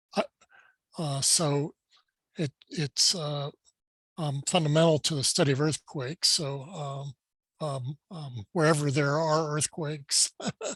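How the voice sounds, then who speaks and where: This man's voice sits at a fairly high pitch and is somewhat breathy, moving at a fairly slow pace. His intonation is fairly even, and the sound is dry and close with no echo. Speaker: seismology professor. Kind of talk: Q&A after a lecture. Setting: webinar video call. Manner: slow, with pauses.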